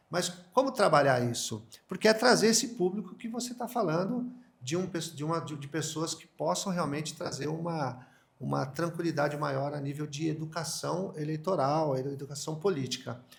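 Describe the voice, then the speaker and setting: With noticeable background noise behind him, a man with a fairly high voice talks at a moderate pace using lively intonation. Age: 50s. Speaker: podcast host. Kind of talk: interview. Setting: home of the interviewed candidate. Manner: halting.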